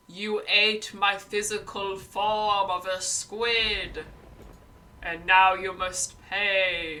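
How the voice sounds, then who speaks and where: The pace is very slow. A put-on character voice delivers it at a middle pitch. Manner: stern, commanding.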